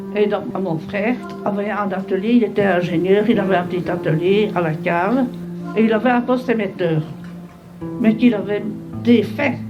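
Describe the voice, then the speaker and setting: A woman at a medium pitch, moderate pace and ordinary pitch variation, with long, frequent pauses, audible room echo and music in the background. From Belgium, Brussels. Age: 80s+. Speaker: war veteran. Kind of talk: testimony. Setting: school talk.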